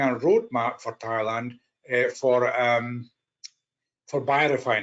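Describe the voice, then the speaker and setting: A man with a Scottish accent at a moderate pace. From Scotland. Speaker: policy analyst. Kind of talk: conference presentation. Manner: halting.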